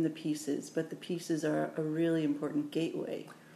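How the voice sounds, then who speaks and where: Her voice is fairly low, and her intonation is monotone and flat. The woman talks at a moderate pace with audible room echo. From Oakland, California, US. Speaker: podcast host. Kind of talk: interview. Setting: in person in New Orleans.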